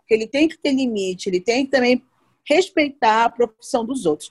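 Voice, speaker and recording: A woman with a high pitch speaks at a fairly quick pace with lively intonation. The sound is dry and close, with no echo. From Belém, Brazil. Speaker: podcast co-host, celebrity reporter. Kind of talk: casual chat.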